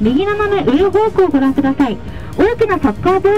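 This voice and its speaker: At a fairly quick clip, a woman talks while clear music sounds behind her. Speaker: tour guide. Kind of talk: tour guide commentary. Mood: cheerful, polite. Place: bus.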